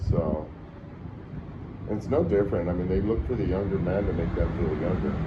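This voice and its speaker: Amid audible room echo and noticeable background noise, a man with an American accent and a very deep, low pitch talks at a fairly quick pace with ordinary pitch variation and long, frequent pauses. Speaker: traveler. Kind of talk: casual chat.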